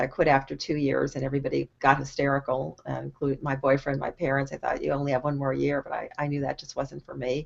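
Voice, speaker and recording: Talking at a very fast pace with hardly any pauses, a woman speaks with an American accent. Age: 60s. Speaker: online marketing coach. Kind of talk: casual live stream talk. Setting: video call live stream.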